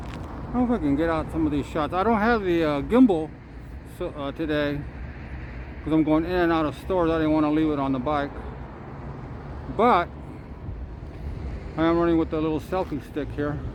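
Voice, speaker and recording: A man with a fairly high pitch speaks at a fairly quick pace with ordinary pitch variation, long frequent pauses and audible room echo. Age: 60s. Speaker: vlogger, trike rider. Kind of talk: casual vlog monologue. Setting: outdoors, selfie-stick camera. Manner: halting, many fillers and repeats.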